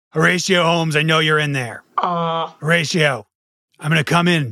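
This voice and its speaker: A man puts on a character voice that is gruff and fairly high-pitched. He talks at a moderate pace. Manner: demanding, pounding-on-the-door.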